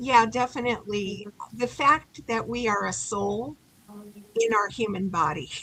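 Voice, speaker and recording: A woman speaks at a fairly slow pace in a fairly high voice, her pitch varying in an ordinary way over noticeable background noise. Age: 70s. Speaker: author. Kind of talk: interview.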